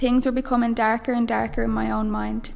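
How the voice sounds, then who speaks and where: A woman speaks with a Dublin accent at high pitch. Her pace is moderate. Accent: Dublin Irish. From Ireland, Dublin. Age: 20s. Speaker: mission member giving faith testimony. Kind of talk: testimony.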